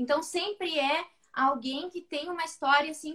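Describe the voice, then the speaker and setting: A woman's raised, projected voice, bright and sharp in tone, at a moderate pace with ordinary pitch variation. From Rio Grande do Sul, Brazil (Santa Vitória do Palmar). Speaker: pelvic physiotherapist. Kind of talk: casual chat.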